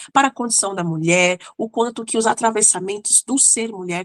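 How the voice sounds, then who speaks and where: A woman uses an ordinary speaking voice with ordinary pitch variation. She keeps a moderate pace, in a dry, close sound with no echo. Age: 30s. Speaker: psychologist and mentor. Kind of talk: online lecture. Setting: recorded video class. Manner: casual, warm.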